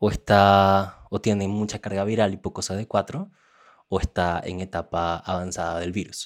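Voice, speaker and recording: This very clean recording, with a silent background, captures a man speaking at a fairly low pitch. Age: 20s. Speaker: person living with HIV. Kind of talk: testimony. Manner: halting.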